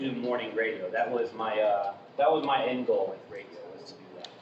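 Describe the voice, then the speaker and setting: A man with an American accent and medium pitch speaks with fairly even intonation. Room echo is audible, along with noticeable background noise. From Florida, Vero Beach. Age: 30s. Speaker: new member of an organization, former radio host. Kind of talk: self-introduction talk. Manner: hesitant, many fillers.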